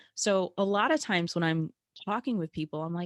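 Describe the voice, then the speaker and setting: Loud and dry, a woman's voice comes across close with no echo. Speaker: networking coach. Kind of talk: live webinar presentation.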